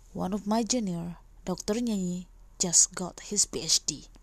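A woman speaks softly in a somewhat breathy voice of medium pitch. Her pitch varies in an ordinary way. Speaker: podcast host. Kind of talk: casual interview. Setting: home recording at night. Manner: soft-spoken.

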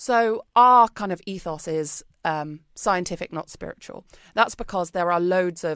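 The speaker is a woman with a British accent. The recording is very clean, with a silent background. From Britain. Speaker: wellbeing company founder. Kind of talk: casual interview chat.

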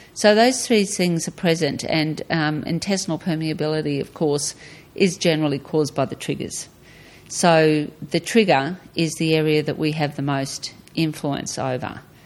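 In an Australian accent, a woman speaks at a moderate pace with a very deep, low pitch and ordinary pitch variation. The background is quiet. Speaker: retired guest, mother of host. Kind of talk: casual interview chat.

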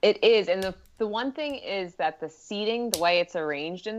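Speaking at a moderate pace with lively intonation, a woman with an American accent uses an ordinary speaking voice. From US Northeast, Philadelphia. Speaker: sports anthropologist. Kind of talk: casual chat.

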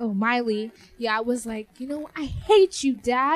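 Over noticeable background noise, a woman with a high-pitched voice talks at a fairly slow pace with ordinary pitch variation. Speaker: podcast host. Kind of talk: casual chat.

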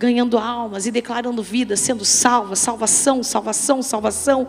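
Someone talks at a fairly slow pace in a flat monotone, with noticeable background noise behind. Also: woman. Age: middle-aged. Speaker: pastor. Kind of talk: sermon. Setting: church.

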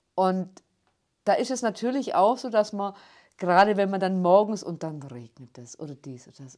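A woman with a Swabian accent on a very clean recording with a silent background. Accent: rolled R from Günzburg. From Ulm, Swabia (southern Germany). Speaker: city tour guide. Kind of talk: interview. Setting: studio.

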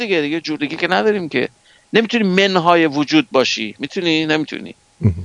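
A man at a fairly quick pace, recorded with a dry, close sound and no echo. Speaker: scientist. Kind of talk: lecture.

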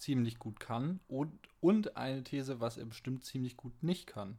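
A very clean recording with a silent background and ordinary pitch variation. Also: man. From Franconia, Bavaria (Fürth district). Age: 20s. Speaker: podcast host, video editor. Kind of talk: casual chat.

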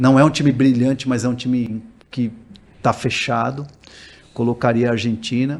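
At a moderate pace, a man with a medium pitch speaks in a monotone, flat intonation, leaving long, frequent pauses. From Brazil. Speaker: sports journalist. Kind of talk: casual interview. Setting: studio. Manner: halting.

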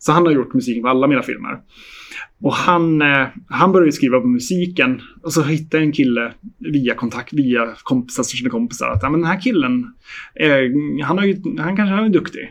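This man's voice sits at a fairly high pitch and moves through very wide pitch swings. He talks at a moderate pace. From Sweden, Hälsingland. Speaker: film director. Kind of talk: interview.

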